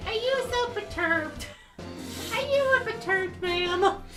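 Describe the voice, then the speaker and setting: In an extremely high-pitched put-on character voice, the speaker goes at a moderate pace while music plays clearly in the background. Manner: cutesy, playful.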